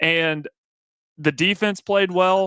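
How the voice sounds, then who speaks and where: A man with a Southern US accent speaks in a high pitch, his tone bright and sharp. The very clean recording has a silent background and a dry, close sound with no echo. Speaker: sports radio co-host. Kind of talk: casual sports talk.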